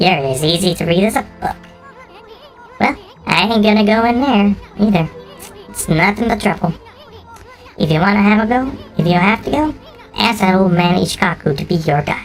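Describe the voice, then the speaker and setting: A man's put-on character voice, high-pitched with ordinary pitch variation and long, frequent pauses, over clear music in the background. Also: fairly quick pace. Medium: virtual streamer. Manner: brash, cocky.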